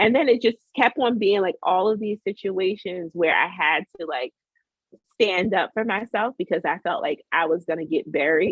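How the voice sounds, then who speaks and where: Over music in the background, a woman with an American accent speaks at a moderate pace in an animated tone, her medium-pitched voice carrying lively intonation. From northern New Jersey. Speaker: food scientist. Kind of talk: casual interview conversation. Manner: talks with a smile; animated, many fillers.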